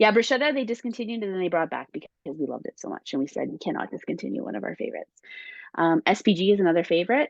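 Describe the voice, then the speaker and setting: Vocal fry marks this woman's medium-pitched voice, recorded dry and close with no echo. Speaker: spice brand consultant. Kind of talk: casual chat.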